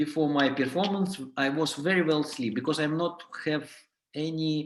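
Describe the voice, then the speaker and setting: In a room with audible echo, a man with a non-native accent speaks fairly slowly at a fairly high pitch with fairly even intonation. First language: not English. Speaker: clown and clown teacher. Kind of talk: workshop lecture. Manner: halting.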